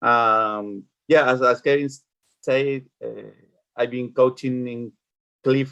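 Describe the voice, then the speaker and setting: In a Spanish accent, a man with a medium pitch talks in a flat monotone, with big swings in loudness and long, frequent pauses. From Chile. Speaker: youth soccer coach. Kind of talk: online parents meeting.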